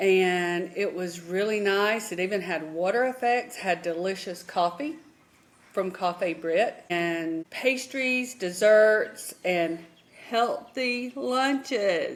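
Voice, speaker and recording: A woman with a Southern US accent speaks at a very slow pace and medium pitch, her intonation lively. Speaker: retired nurse, travel vlogger. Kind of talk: casual chat.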